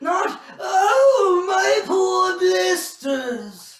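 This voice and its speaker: A man's put-on character voice at an extremely high pitch, with a slight echo. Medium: stage play. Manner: theatrical, complaining.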